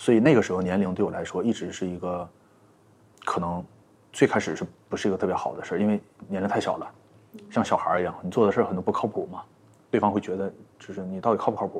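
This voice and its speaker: A man with a fairly low pitch talks at a very fast pace and fairly even intonation. He leaves long, frequent pauses. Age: 30s. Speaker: entrepreneur, plush toy brand founder. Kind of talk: casual interview. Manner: hesitant, many fillers and repetitions.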